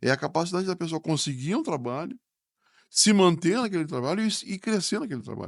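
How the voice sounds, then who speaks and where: Against a quiet background, a high-pitched man talks at a very fast pace. His intonation is lively. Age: 60s. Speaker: business school professor. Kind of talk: podcast interview. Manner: hesitant, repeats words.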